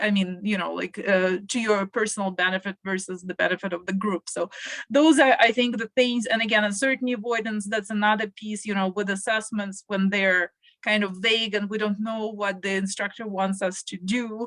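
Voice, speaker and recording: A non-native accent at a moderate pace, fairly even intonation, and a dry, close sound with no echo. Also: woman, medium pitch for a woman. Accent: foreign. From Russia. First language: Russian. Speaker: panelist, international educator. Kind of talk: panel discussion. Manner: hesitant, many fillers.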